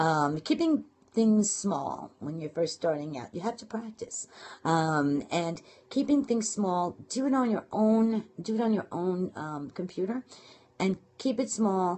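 A woman with a Brooklyn accent sounds animated and somewhat breathy, her pitch swinging very widely. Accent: Brooklyn New York. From Brooklyn, New York. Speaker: internet marketing and blogging coach. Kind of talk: casual live broadcast talk with tips. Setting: live phone video broadcast. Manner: fast talker; animated, chatty. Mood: warm, encouraging.

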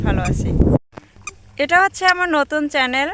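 A woman speaks at a high pitch, with noticeable background noise around her. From Bangladesh, Barisal. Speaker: vlogger. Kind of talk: vlog introduction to camera. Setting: outdoors.

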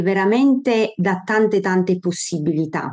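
Against a quiet background, a dark, mellow voice moves at a very slow pace with ordinary pitch variation. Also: woman. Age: 50s. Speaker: doctor. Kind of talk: lecture. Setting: video call. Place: home room. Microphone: video call.

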